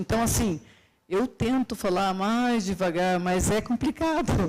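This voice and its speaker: A woman with a plain, everyday voice talks at a fairly slow pace, her pitch medium with ordinary variation, on a very clean recording with a silent background. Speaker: university professor and conference speaker. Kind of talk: conference lecture. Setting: stage with audience.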